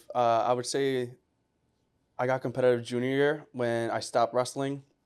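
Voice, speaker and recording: With a Spanish accent, the speaker talks at a moderate speed. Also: man, medium pitch for a man. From Puerto Rico, then upstate New York. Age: 20s. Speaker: former college football player, receiver trainer. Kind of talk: casual podcast interview. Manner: casual, animated.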